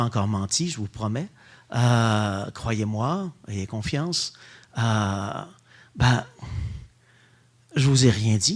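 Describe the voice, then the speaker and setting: This man has a medium pitch and an animated tone. His intonation is lively. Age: 60s. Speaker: Dominican friar and theology lecturer. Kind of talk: public lecture.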